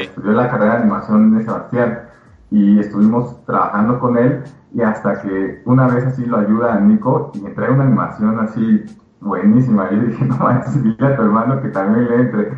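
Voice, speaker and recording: A medium-pitched male voice with audible room echo. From Mexico. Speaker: video game developer. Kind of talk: interview. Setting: live stream.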